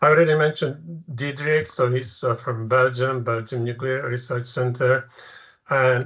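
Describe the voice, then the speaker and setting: Here a man speaks with a Czech accent. His intonation is fairly even. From Czechoslovakia. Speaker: professor. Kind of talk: lecture. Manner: halting.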